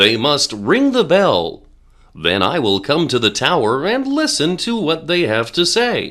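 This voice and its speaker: Over a silent background in a very clean recording, a man does a put-on character voice, fairly high-pitched with very wide pitch swings, at a fairly slow pace. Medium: read story. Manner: stern, authoritative.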